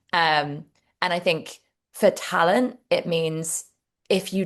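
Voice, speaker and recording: Against a quiet background, a woman with a British accent speaks at a fairly slow pace in a very deep, low pitch. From England, Devon. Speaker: HR director. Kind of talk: interview.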